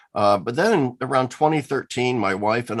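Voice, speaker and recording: A man with a Midwestern US accent against a quiet background. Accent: General American, Midwestern. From US Midwest, Lincoln, Nebraska. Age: 60s. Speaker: theologian and former professor. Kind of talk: interview.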